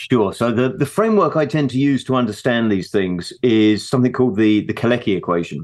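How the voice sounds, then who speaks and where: A man talks at a fairly quick pace with hardly any pauses, very even loudness and lively intonation, in a medium pitch. It is a plain, everyday voice. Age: 50s. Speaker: investment strategist. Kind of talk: interview.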